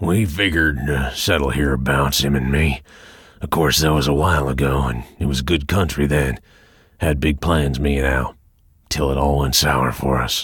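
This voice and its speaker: A man puts on a character voice, growling and raspy at a very deep, low pitch. His loudness stays very even at a moderate pace. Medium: read story. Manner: cold, flat, menacing.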